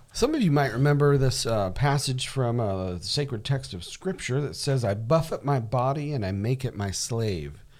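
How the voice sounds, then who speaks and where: A man with an ordinary speaking voice, medium pitch, lively intonation and moderate pace. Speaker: podcast co-host. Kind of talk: casual podcast discussion.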